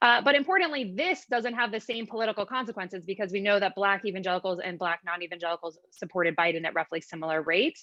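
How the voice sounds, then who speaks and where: Speaking at a very fast pace with hardly any pauses, a woman uses lively intonation. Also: medium pitch for a woman. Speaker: panelist, political researcher. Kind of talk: academic presentation with slides.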